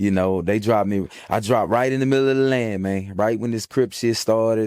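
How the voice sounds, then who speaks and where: The recording is very clean, and its background silent. An ordinary speaking voice goes fairly fast, with ordinary pitch variation. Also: man. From Fort Worth, Texas (born in Atlanta, some years in Houston). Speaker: interviewee from the streets. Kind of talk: casual interview. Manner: laid-back, slangy, filler-heavy.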